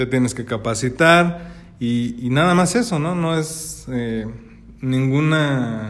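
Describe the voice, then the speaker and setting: Audible room echo accompanies this man's voice. He has a medium pitch and ordinary pitch variation. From Mexico, Celaya (Guanajuato). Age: 30s. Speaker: wedding photographer. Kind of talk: casual chat.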